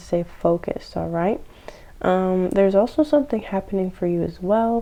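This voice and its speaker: At a moderate pace, a woman speaks in an unremarkable speaking voice, medium in pitch, with ordinary pitch variation. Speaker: tarot reader. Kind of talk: tarot reading to camera. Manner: many filler words.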